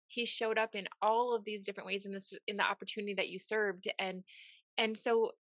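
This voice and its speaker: Recorded dry and close with no echo over a quiet background, a woman has an ordinary speaking voice, a fairly high pitch and fairly even intonation. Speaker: podcast host. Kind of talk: interview conversation, warm and motivational.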